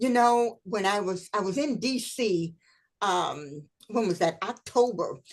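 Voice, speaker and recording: A woman with an ordinary speaking voice talks at a medium pitch and a fairly slow pace, her intonation lively. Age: 60s. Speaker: historian and speaker. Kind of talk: interview chat.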